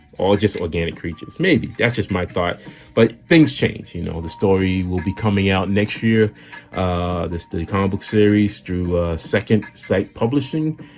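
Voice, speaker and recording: With an American accent, a man speaks at a moderate pace and fairly low pitch, using ordinary pitch variation. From US Northeast, Boston. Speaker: artist and illustrator. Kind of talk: casual chat while drawing. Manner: off the cuff, halting with many fillers; forward.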